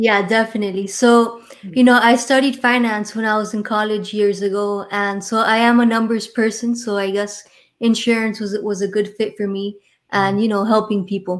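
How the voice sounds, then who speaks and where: A woman with a Miami accent speaks in a monotone, flat intonation. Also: fairly high pitch for a woman, moderate pace. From Miami, Florida. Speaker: insurance and retirement planning professional. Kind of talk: casual interview chat. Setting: live online show.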